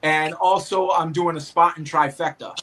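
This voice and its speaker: A man with a Boston accent talks fairly slowly at a high pitch, with noticeable background noise. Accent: thick Boston. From Boston, Massachusetts. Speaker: obstacle race athlete and referee. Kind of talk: casual chat.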